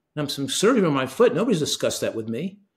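A man speaks in a somewhat breathy voice. The background is quiet. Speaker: guest. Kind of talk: interview answer. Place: home room.

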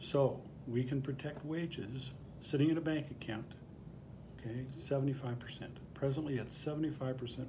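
Very slow speech with fairly even intonation over noticeable background noise. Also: man. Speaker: bankruptcy attorney. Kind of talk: explainer to camera. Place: office. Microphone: phone near.

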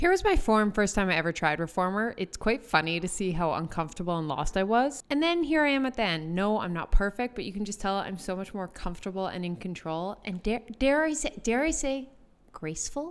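At a fairly quick pace, a woman speaks in a clear, smooth tone with big pitch swings. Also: medium pitch for a woman.

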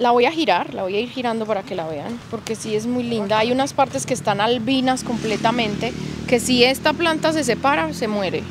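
A woman with a Medellín Colombian accent, fairly quick, with a dry sound with no echo and noticeable background noise. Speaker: YouTuber plant channel host. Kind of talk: casual vlog tour chat. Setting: outdoors in a plant nursery. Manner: animated, excitable. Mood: warm, enthusiastic. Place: shop.

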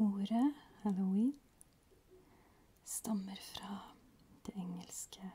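Whispering and soft-spoken, a woman talks at a very slow pace in a somewhat breathy voice, with long, frequent pauses. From Norway. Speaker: ASMR creator. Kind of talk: ASMR educational talk. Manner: whispered, soft-spoken. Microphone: studio mic.

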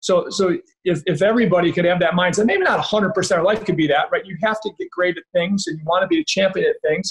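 Barely pausing at all, a high-pitched man races along at a very fast pace with ordinary pitch variation. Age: 50s. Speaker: podcast host. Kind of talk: interview conversation. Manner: enthusiastic, repetitive. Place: home room. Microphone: video call.

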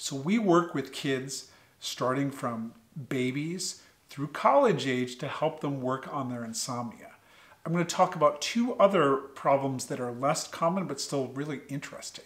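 The speech comes at a moderate pace in an American accent, with ordinary pitch variation. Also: man, fairly high pitch for a man. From US Northeast, Connecticut. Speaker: pediatric sleep doctor. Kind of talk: educational talk to schoolchildren. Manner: friendly, conversational. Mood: friendly, explanatory. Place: home room. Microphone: studio mic.

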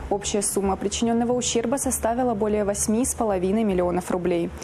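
Noticeable background noise runs beneath speech delivered at a fairly quick pace with ordinary pitch variation. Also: woman. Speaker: police press officer presenting crime news. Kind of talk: news reading. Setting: studio.

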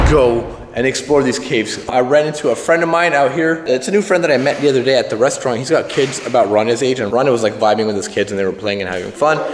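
A man talks at a very fast pace with hardly any pauses, amid light background noise and audible room echo. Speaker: family vlogger. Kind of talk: casual vlog chat. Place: home room. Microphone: phone near.

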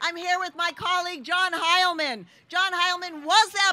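A woman's raised, projected voice at an extremely high pitch and a moderate pace. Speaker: city mayor and speaker. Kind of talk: rally speech. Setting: outdoor rally with crowd. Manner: proud, upbeat, formal.

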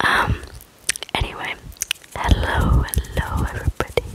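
A woman whispers at a fairly slow pace. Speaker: ASMR creator. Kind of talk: ASMR slime video, casual talk to camera. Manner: slow, close whispers.

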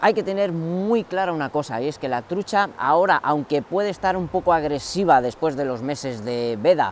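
A man talking at a moderate pace with hardly any pauses and lively intonation, in a dry sound with no echo over light background noise. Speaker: fishing channel host. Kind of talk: tutorial. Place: waterside.

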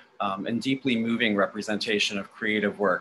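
A man's bright, sharp tone carries ordinary pitch variation over light background noise. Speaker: university arts program director; event host announcing awards. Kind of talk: award announcement. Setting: video call. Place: home room. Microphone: video call.

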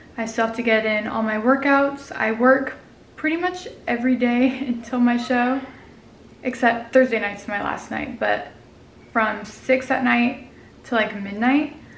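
Light background noise and audible room echo surround a woman speaking at a fairly slow pace. Her pitch is high and her intonation fairly even. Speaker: fitness competitor vlogger. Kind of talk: casual vlog chat. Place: home room. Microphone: phone near.

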